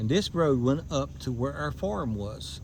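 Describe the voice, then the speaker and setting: A man talks with an Appalachian accent at a medium pitch. His voice is somewhat breathy. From southern West Virginia, McDowell County. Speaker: YouTuber giving a driving tour. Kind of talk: casual tour narration. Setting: in a car.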